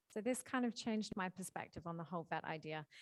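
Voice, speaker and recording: Very fast speech from a woman with an Australian accent and a medium pitch. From Australia, Perth. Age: 20s. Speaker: marine conservation charity worker. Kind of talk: prepared talk. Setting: hybrid school event with audience.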